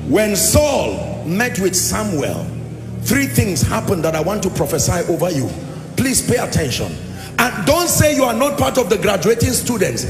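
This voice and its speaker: There is clear music in the background. Over it, a man speaks at a moderate pace. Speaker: preacher. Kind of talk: sermon. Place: hall. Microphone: handheld.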